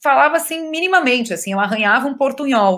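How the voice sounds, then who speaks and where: This is a woman speaking. Her pitch is high. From southern Brazil (Rio Grande do Sul). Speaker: actress. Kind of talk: interview. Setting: video call.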